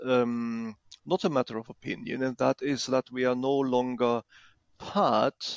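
At a very slow pace, a man with a German accent speaks at medium pitch. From Germany. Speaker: former equity analyst. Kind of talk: casual chat.

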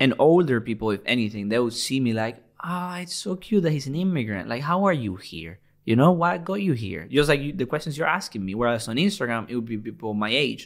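In a very clean recording with a silent background, a man with a Spanish accent talks at a fairly quick pace with hardly any pauses and very wide pitch swings. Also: medium pitch for a man. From Venezuela. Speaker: football gaming YouTuber. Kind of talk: interview. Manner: animated.

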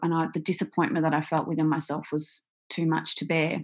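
A woman with an Australian accent at a moderate pace, against a quiet background. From Australia, Victoria. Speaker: author and speaker, survivor. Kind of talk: interview, personal storytelling. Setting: video call.

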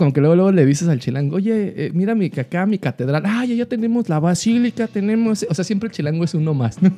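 Against a quiet background, a man talks at a very fast pace with very wide pitch swings and a dark, mellow tone. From Mexico City. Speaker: office worker. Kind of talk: casual chat. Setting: home studio.

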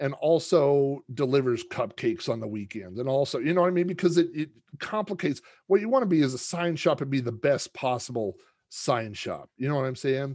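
A normal speaking voice moves at a fairly quick pace with lively intonation over a quiet background. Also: man, fairly high pitch for a man. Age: 40s. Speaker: podcaster and author. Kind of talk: casual chat.

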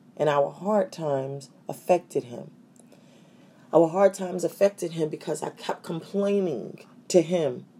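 A woman speaks at a fairly low pitch with a dark, mellow tone. Vocal fry runs through her voice. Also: ordinary pitch variation. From New York City. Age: 40s. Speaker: podcast host. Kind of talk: solo talk. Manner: hesitant with fillers.

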